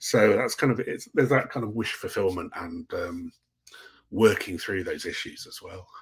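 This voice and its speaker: In an English accent, a man talks at a moderate pace with big swings in loudness. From England. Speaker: science fiction author; guest. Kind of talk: casual interview. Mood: relaxed, thoughtful. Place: home room.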